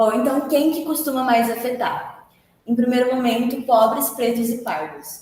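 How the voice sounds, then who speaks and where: A woman with a high voice talks at a fairly slow pace, and her pitch varies in an ordinary way. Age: 20s. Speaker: university student. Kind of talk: student presentation. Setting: presentation to group members. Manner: hesitant, with many filler sounds.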